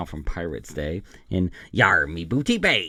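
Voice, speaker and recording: In a put-on character voice, a man speaks with a very deep, low pitch. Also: moderate pace. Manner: exaggerated, deliberately bad.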